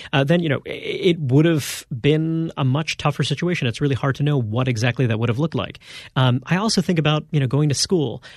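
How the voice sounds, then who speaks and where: Against a quiet background, a man with an American accent talks at a fairly quick pace, somewhat breathy and fairly high in pitch, with ordinary pitch variation. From Brooklyn, New York. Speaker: magazine editor and author. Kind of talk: interview.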